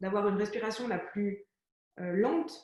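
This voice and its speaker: Audible room echo surrounds a woman's medium-pitched voice. She talks at a fairly quick pace with ordinary pitch variation. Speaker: entrepreneur interview host. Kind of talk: conversational interview.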